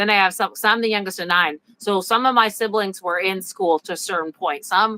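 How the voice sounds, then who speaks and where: A woman's medium-pitched voice, bright and sharp in tone, fairly quick with hardly any pauses, fairly even in intonation, dry and close with no echo. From US Midwest, Illinois. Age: 40s. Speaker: homeschooling mother and author. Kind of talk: casual interview chat. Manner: halting.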